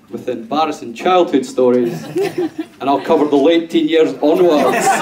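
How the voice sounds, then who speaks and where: The speech moves at a moderate pace with hardly any pauses. Noticeable background noise runs underneath. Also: man. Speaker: best man. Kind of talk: wedding speech. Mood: jovial, humorous. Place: hall.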